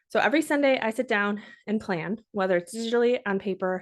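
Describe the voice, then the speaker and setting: A woman at a very fast pace, upbeat in tone, medium in pitch with ordinary pitch variation, against a quiet background. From Minnesota. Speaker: podcast host. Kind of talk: podcast tutorial. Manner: upbeat, conversational.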